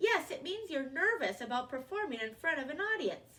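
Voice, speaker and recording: A squeaky, put-on character voice swings very widely in pitch. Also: woman, high pitch for a woman, moderate pace. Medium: read story. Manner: reassuring.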